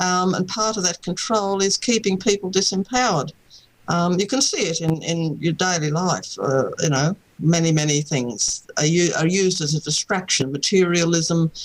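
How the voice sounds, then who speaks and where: Someone with an Australian accent talks at a moderate pace over noticeable background noise. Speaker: author, contact experiencer. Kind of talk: interview.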